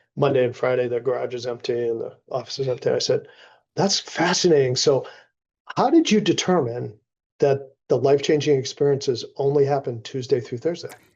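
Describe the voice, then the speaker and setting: Somewhat breathy and fairly high, a man's voice moves at a fairly quick pace with ordinary pitch variation. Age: 60s. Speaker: executive advisor, former CEO. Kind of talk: casual chat.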